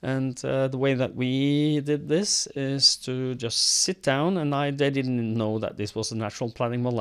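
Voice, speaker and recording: Speaking with a Scandinavian accent, a man uses a medium pitch, fairly even intonation and a moderate pace. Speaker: podcast co-host. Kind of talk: casual chat. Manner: halting, many fillers.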